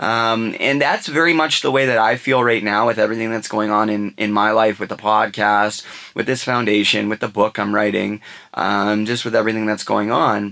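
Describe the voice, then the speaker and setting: A man's plain, everyday voice at a fairly low pitch, moderate pace and fairly even intonation. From western Canada. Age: 30s. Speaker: podcast host. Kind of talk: casual chat. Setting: studio.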